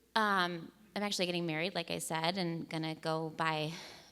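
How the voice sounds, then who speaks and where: A woman speaks in a bright, sharp tone. She sounds animated. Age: 30s. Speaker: storyteller at live failure-stories event. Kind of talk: stand-up style storytelling talk. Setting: stage with audience.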